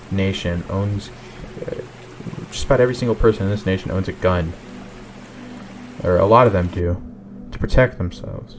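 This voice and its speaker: Over noticeable background noise, a man with an American accent speaks at a fairly low pitch with ordinary pitch variation. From United States. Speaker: gaming YouTuber. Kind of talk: unscripted monologue. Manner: halting, with fillers and restarts.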